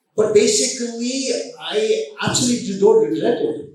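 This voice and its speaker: Audible room echo surrounds a man whose high-pitched voice moves with lively intonation. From India. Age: 70s. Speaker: business chairman. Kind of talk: motivational speech.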